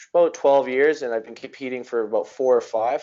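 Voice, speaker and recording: A man with a Canadian accent speaks in an ordinary speaking voice, at medium pitch and moderate pace. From Alberta, Canada. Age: 20s. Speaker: amateur mixed martial arts fighter. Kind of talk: casual chat. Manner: casual, filler-heavy.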